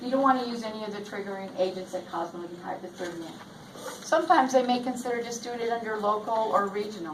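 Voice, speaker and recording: Through noticeable background noise and audible room echo, a woman talks at a very fast pace with a fairly high pitch, ordinary pitch variation and big swings in loudness. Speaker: nurse educator. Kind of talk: lecture.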